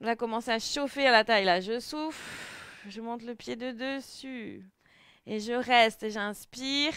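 Over a quiet background, a woman speaks at a fairly slow pace with fairly even intonation, and the sound is dry with no echo. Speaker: fitness instructor. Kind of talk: exercise class instruction. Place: home room. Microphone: headset.

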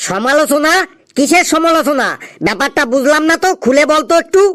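This cartoonish character voice sits high in pitch. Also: moderate pace. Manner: casual, teasing.

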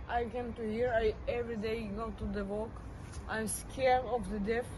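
Over loud background noise, a woman talks at a fairly slow pace. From Israel. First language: Hebrew. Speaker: displaced person. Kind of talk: interview answer. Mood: worried, subdued. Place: street. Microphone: camera far.

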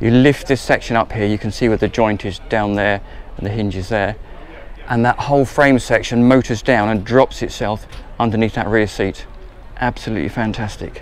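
A man talks at a moderate pace with fairly even intonation. The sound is dry with no echo, and there is light background noise. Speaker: presenter. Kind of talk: tour commentary. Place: boat. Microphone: phone near.

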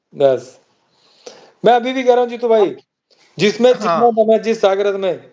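A man with a high voice and ordinary pitch variation, broken by long, frequent pauses. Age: 50s. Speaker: pigeon fancier. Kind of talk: casual chat. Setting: live stream. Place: home room. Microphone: video call.

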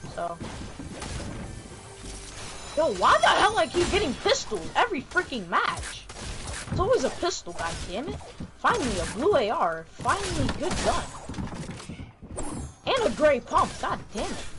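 In a put-on, whiny character voice pitched high, the speaker goes at a moderate pace with long, frequent pauses over clear background noise. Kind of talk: casual, slangy. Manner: whiny, complaining.

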